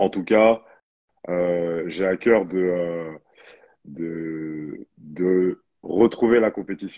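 A man speaks very slowly with a very deep, low pitch. His intonation stays fairly even over a quiet background. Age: 30s. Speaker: professional basketball player and personal trainer; personal trainer. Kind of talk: interview. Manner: halting. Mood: relaxed, smiling. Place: home room. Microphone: connection problems; earbuds.

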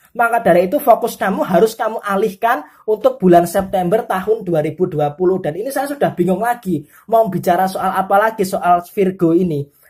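A woman's voice, somewhat breathy, moves along at a moderate speed. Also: medium pitch for a woman, ordinary pitch variation, hardly any pauses. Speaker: tarot reader. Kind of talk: tarot horoscope reading. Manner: forceful.

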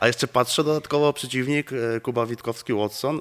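A man's voice at a fairly quick pace, with ordinary pitch variation, over a quiet background. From Poland. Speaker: interviewer. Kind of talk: casual interview. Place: gym. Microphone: handheld.

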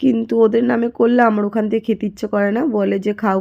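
A woman's voice with a dark, mellow tone. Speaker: vlogger. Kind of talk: vlog voice-over. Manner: stumbling speech.

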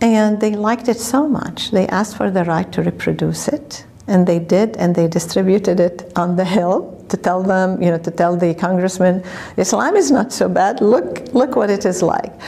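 A woman speaks with an Arabic accent at a medium pitch and moderate pace, with ordinary pitch variation. Her loudness stays very even against noticeable background noise. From Lebanon. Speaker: law professor. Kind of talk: oral history interview. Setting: conference hotel.

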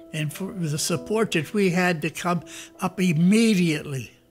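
Music in the background under a man with an American accent. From United States. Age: 80s+. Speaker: war veteran. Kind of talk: interview answer.

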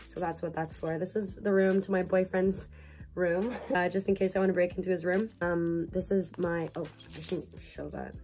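A woman's flat, monotone voice at a moderate pace, with faint music in the background. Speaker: university student vlogger. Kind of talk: casual vlog chat. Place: home room. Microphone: phone near.

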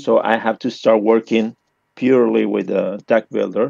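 At a moderate pace, a man with a Spanish accent speaks in a dry, close sound with no echo. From Argentina. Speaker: game designer. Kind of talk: interview. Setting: voice call. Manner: halting.

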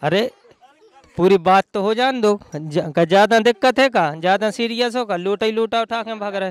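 Dry with no echo, the recording has a man with a high pitch speaking at a moderate pace with ordinary pitch variation. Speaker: street reporter. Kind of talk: street interview banter. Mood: joking, playful teasing. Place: open country. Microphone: handheld.

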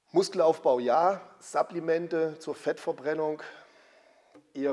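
A man's fairly high pitch with fairly even intonation. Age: 50s. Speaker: former pro bodybuilder and gym owner. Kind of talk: casual interview.

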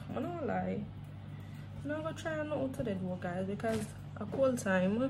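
Her pitch is very deep and low for a woman, yet it swings very widely as she talks at a moderate pace. Noticeable background noise can be heard. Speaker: haul vlogger. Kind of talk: product unboxing vlog. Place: home room. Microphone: phone near.

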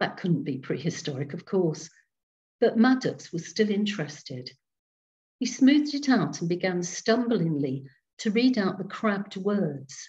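A woman's voice, somewhat breathy, swings very widely in pitch. The background is quiet. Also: fairly slow pace. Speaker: storyteller. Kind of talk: reading aloud ghost story to a Zoom group. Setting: video call. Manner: slow, dramatic, hushed suspense with character voices; gentle, warm storyteller. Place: home room. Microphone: webcam.

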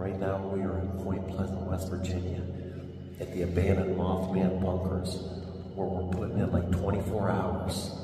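With music playing behind him and strong room echo, a man speaks in a flat monotone at a very deep, low pitch. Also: moderate pace. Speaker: paranormal investigator vlogger. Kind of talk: casual vlog chat. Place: tunnel cave. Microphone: phone near.

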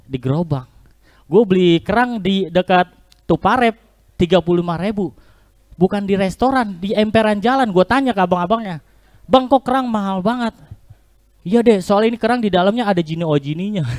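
A man speaks fairly quickly in a high voice with ordinary pitch variation and a playful, animated tone. He leaves long, frequent pauses against a quiet background. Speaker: stand-up comedian and online taxi driver. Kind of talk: stand-up comedy with jokes and punchlines for a live virtual audience. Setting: virtual competition performance. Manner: animated, rapid-fire joke delivery with slangy Jakarta colloquial speech; playful, self-deprecating, with audience calls such as asking for applause. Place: stage. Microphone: handheld.

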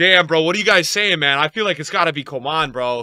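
The tone is bright, sharp and animated. The sound is dry with no echo, against a quiet background. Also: man. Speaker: gaming YouTuber and streamer. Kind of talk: casual gaming commentary, pack opening. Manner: excitable, loud, animated. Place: home room.

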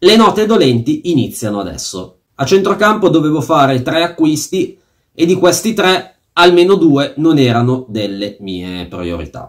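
At a fairly slow pace, a man with a fairly high voice swings his pitch very widely over a quiet background. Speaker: fantasy football YouTuber. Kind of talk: angry rant about a fantasy football auction, venting with swearing and sarcasm. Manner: fuming and indignant, sarcastic, stressing words with fury. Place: home room. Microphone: phone near.

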